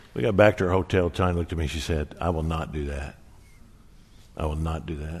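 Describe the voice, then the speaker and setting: This man's very deep, low voice carries vocal fry and fairly even intonation, racing along at a very fast pace yet broken by long, frequent pauses. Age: 60s. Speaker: pastor. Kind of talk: sermon.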